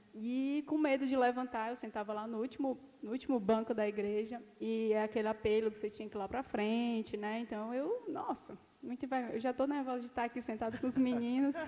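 Against noticeable background noise, a woman speaks in a high pitch with fairly even intonation. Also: fairly quick pace. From Ceará, Brazil. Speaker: dentist. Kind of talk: casual chat. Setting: studio.

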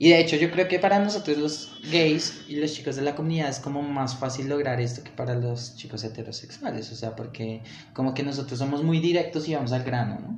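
A man with a fairly high pitch and ordinary pitch variation talks at a fairly quick pace with hardly any pauses. Audible room echo and noticeable background noise fill the recording. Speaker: podcast host. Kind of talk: casual chat. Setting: outdoor market.

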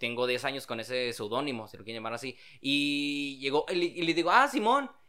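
Over a very clean recording with a silent background, a man with a fairly high voice and a bright, sharp tone talks at a fairly quick pace, with ordinary pitch variation and big swings in loudness. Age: 20s. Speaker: TV host and rock musician. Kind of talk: casual chat.

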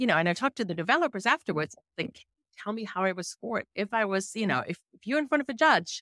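In a German accent, a woman speaks with lively intonation and a bright, sharp tone, recorded dry and close with no echo and a very clean, silent background. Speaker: investigative journalist. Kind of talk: interview conversation.

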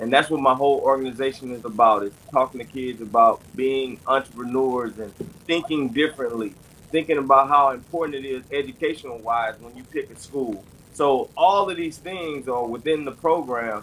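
With an American accent, a plain, everyday voice speaks at a moderate pace, with ordinary pitch variation and big swings in loudness. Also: man, medium pitch for a man. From Texas. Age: 40s. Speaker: former football player and author. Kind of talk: casual chat.

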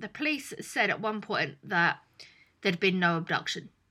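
In a very clean recording with a silent background, a woman with a British accent speaks in a bright, sharp tone. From England. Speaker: podcast co-host. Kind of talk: casual chat.

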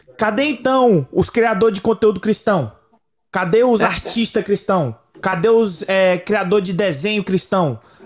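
A man speaks with a high pitch. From eastern Minas Gerais, Brazil. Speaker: podcast co-host, youth group leader. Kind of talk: casual chat.

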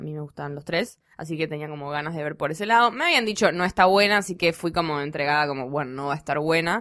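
The pace is very fast. This woman's intonation is lively. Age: 20s. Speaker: podcast panelist, film and culture commentator. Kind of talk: casual chat.

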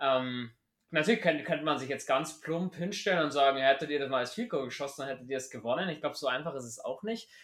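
The man races along at a very fast pace, his fairly high pitch showing ordinary pitch variation. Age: 20s. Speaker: podcast host. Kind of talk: casual chat. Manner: animated.

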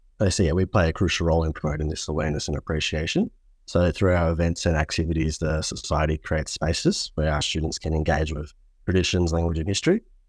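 Someone with an Australian accent speaks at a very fast pace in a monotone, flat intonation, on a very clean recording with a silent background. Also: man, very deep, low pitch for a man. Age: 20s. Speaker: student society president. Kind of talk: interview.

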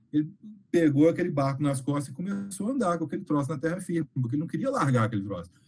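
Speaking very fast, a man uses a fairly high voice and lively intonation. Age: 40s. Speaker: game designer. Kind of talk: casual chat.

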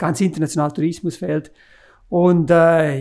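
Fairly even in intonation, this man speaks at a moderate pace with a fairly high pitch. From Graubünden, Switzerland. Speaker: mountain railway executive. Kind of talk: podcast interview. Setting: office, around a desk.

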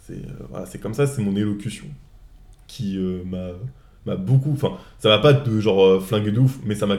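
Pausing long and often, a man with a fairly low pitch speaks at a moderate pace, his pitch varying ordinarily and his loudness swinging widely. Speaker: podcast host. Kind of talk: casual chat. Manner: halting.

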